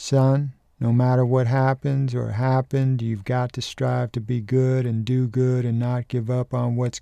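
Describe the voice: What you hear is plain reading aloud.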